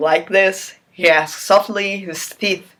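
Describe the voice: Someone does plain reading aloud.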